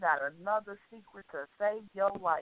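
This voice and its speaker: Pitched at a medium level with ordinary pitch variation, a woman talks in a plain, everyday voice. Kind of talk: casual chat. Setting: phone call.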